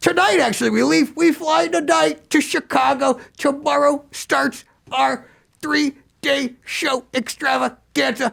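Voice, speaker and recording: A man uses a put-on character voice with an extremely high pitch. He talks at a fairly slow pace. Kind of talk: podcast interview. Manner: excitable, upbeat.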